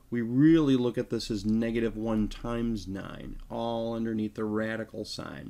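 A man speaks at a fairly slow pace with a medium pitch, in a plain, everyday voice. The recording is very clean, with a silent background. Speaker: math teacher. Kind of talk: tutorial.

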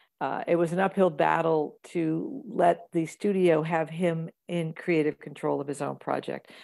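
A woman with an American accent has a normal speaking voice. Her pitch is fairly low, with ordinary pitch variation. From US Midwest. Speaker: actress and comedian. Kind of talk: casual interview.

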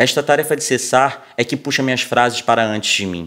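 A man speaks with a Brazilian accent at a moderate pace. The background is quiet. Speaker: poetry reader. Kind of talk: poetry reading aloud, quoting lines from a book. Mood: calm, reflective, soft. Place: studio.

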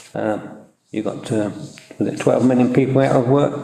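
A man at a moderate pace and fairly even intonation, with audible room echo and noticeable background noise. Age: 70s. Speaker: town councillor. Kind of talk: council meeting discussion. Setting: council chamber meeting, livestreamed.

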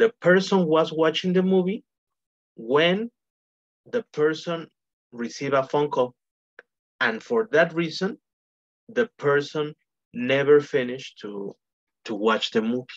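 Long, frequent pauses break up the speech against a quiet background. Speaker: English teacher. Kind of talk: online lesson explanation. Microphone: video call.

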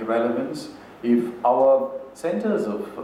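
Audible room echo and light background noise around a male speaker. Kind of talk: lecture. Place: hall. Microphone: podium.

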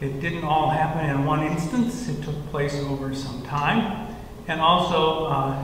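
There is audible room echo and light background noise. Through it, a man speaks at a fairly slow pace. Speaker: church minister or leader. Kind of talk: children's sermon style explanation. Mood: warm, gentle. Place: church. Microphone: headset.

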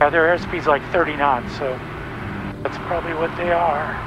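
A man talks at a moderate pace. The sound is dry with no echo, though there is noticeable background noise. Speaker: flight instructor pilot. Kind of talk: instructional commentary and radio calls. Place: plane. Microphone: headset.

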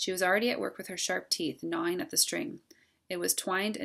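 A passage is being read out. The reading voice sounds natural.

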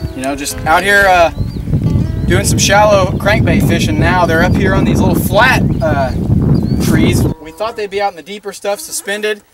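Clear music plays behind a man who talks at a moderate pace, the sound dry with no echo. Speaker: angler host. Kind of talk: casual fishing commentary. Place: waterside. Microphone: camera far.

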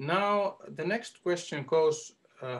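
Against a quiet background, a man with a Finnish accent and a high pitch talks at a very slow pace. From Finland. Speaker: arts agency advisor; workshop facilitator. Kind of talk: online workshop demonstration. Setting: video call. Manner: hesitant. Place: home room. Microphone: video call.

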